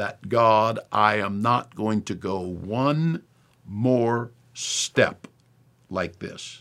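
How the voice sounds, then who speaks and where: A man talks at a very slow pace in a fairly low voice. The recording is very clean, with a silent background. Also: ordinary pitch variation. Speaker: preacher and podcast host. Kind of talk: sermon/teaching commentary, preacher-style. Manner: earnest, emphatic, direct.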